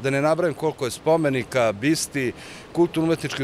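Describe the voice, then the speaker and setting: There is light background noise as a man speaks, the sound dry with no echo. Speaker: interviewee. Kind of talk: interview answer. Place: street. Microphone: handheld.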